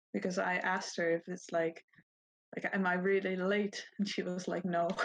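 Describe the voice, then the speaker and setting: This woman speaks at a moderate pace and a medium pitch. Her intonation stays monotone and flat. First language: Dutch. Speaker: podcast guest. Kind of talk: casual chat.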